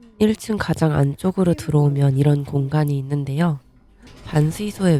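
A woman's very deep, low-pitched voice at a moderate pace, with ordinary pitch variation and music in the background. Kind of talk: travel vlog voiceover narration.

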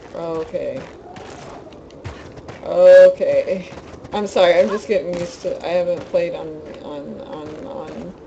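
Someone mumbles at a very slow pace, with long, frequent pauses and noticeable background noise. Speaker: video game streamer. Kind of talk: casual live-stream commentary. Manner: mumbling.

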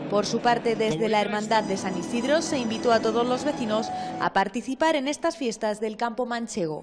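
A woman talks at a moderate pace with hardly any pauses, her pitch fairly high and its variation ordinary. Music plays in the background. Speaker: TV news reporter. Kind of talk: local TV news report voice-over.

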